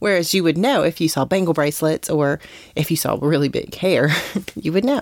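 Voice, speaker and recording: A woman with an American accent in a normal speaking voice, fairly low in pitch and fairly quick, with lively intonation and very even loudness. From West Virginia. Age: 40s. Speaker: podcast co-host. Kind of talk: casual chat.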